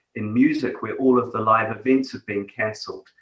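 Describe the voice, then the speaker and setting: In a New Zealand accent, a man speaks at a moderate pace. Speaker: technology executive. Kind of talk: interview.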